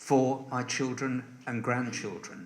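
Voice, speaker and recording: The room echo here is audible. A man talks at a fairly slow pace. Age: 70s. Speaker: election candidate. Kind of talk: hustings answer. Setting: parish hall with audience.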